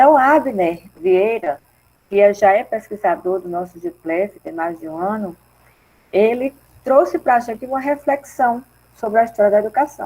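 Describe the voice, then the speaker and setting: A soft-spoken woman with a fairly high pitch, a dark, mellow tone and lively intonation, at a moderate pace. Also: big swings in loudness. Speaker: research group coordinator / professor. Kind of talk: online mini-course introduction.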